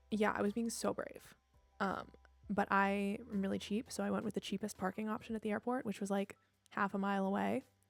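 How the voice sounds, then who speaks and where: A soft-spoken, fairly quick delivery in a monotone, flat intonation, with dry, close sound and no echo. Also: woman, medium pitch for a woman. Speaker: streamer. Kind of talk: casual chat.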